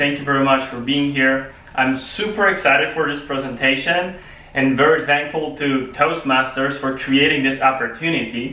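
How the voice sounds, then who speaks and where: A man's fairly high voice with a Polish accent, at a moderate pace, with audible room echo and noticeable background noise. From Poland. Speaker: public speaking club member. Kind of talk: prepared speech.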